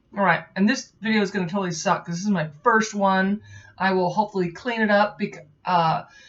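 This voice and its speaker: A woman speaks in an ordinary speaking voice at a fairly quick pace, with medium pitch and fairly even intonation. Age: 40s. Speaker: software tester and home brewer; beer reviewer. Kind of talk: casual beer review to camera.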